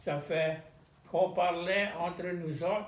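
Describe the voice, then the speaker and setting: Talking at a very slow pace, a man with a high pitch speaks in a Louisiana accent. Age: 80s+. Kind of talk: interview answer.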